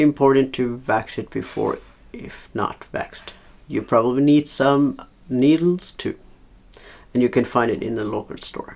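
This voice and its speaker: This speaker has a non-native accent and talks at a fairly slow pace, with long, frequent pauses and big swings in loudness. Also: man, medium pitch for a man, ordinary pitch variation. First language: not English. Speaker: leathercraft hobbyist teacher. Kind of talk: tutorial. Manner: halting, many fillers.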